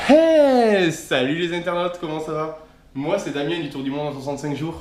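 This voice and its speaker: A man with a normal speaking voice, a fairly high pitch and a moderate pace. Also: ordinary pitch variation, big swings in loudness. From southern France, Aude (Castelnaudary area). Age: 20s. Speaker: travel vlogger. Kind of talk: scripted humorous self-introduction.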